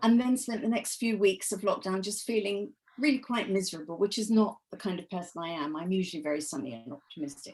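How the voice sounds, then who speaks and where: Lively intonation from a woman at a medium pitch. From England. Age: 70s. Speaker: author. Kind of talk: interview.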